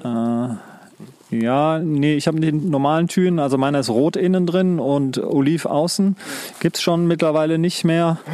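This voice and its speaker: In an unremarkable speaking voice, a man talks at a fairly slow pace with very even loudness. His pitch is fairly high with ordinary variation. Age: 40s. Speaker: outdoor hobbyist. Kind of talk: casual chat. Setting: outdoors.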